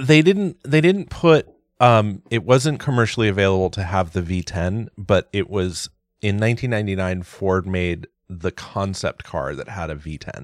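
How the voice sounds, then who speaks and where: Heard on a very clean recording with a silent background, a man with an ordinary speaking voice talks at a moderate pace and fairly low pitch with lively intonation. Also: dry, close sound with no echo. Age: 40s. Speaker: podcast host. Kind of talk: casual chat.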